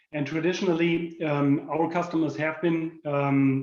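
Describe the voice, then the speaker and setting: With a German accent, a man speaks in a dark, mellow tone with monotone, flat intonation. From Germany. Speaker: corporate product manager. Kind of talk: presentation. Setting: video call. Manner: halting, many fillers.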